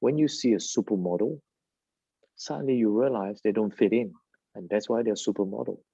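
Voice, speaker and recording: With a non-native accent, a dark, mellow voice goes at a fairly quick pace with ordinary pitch variation and long, frequent pauses over a quiet background. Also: man, fairly low pitch for a man. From Malaysia. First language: not English. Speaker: plastic surgeon. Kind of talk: interview.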